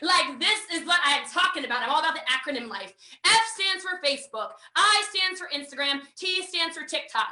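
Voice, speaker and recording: An energetic woman with an American accent, in a raised, projected voice pitched extremely high, with very wide pitch swings, a fairly quick pace and noticeable background noise. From United States. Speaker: network marketing trainer. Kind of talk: online training session. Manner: fast.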